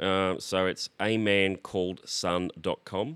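A man with an Australian accent speaks at a moderate pace in a very deep, low voice. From Australia, Brisbane. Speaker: singer-songwriter and multi-instrumentalist. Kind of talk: casual interview chat.

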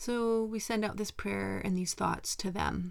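In a Canadian accent, a woman speaks in a gentle, calm tone at a fairly slow pace. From western Canada. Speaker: meditation podcast host. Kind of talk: mindfulness talk; guided meditation.

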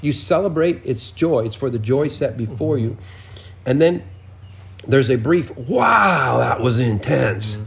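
A man at medium pitch, moderately paced, with lively intonation, noticeable background noise and audible room echo. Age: 60s. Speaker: prophetic minister. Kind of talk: interview.

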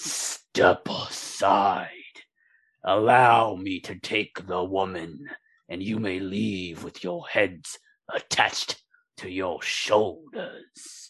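Putting on a character voice, a man speaks very slowly in a raspy, very deep, low register. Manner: menacing, chuckling.

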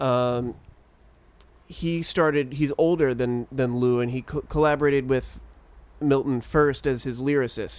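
A man speaks with a normal speaking voice. His pace is fairly slow. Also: medium pitch for a man, fairly even intonation. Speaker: podcast co-host. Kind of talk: casual chat.

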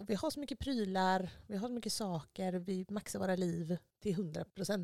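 An ordinary speaking voice with ordinary pitch variation comes through in a dry, close sound with no echo. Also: woman. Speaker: podcast host. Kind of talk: casual chat.

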